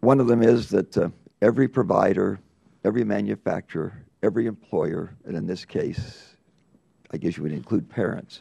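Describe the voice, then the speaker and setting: Dark, mellow tone from a man with an American accent, fairly low pitch, vocal fry, lively intonation and a moderate pace. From US, rural farm. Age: 80s+. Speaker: congressman. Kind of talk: committee hearing questioning. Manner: emphatic.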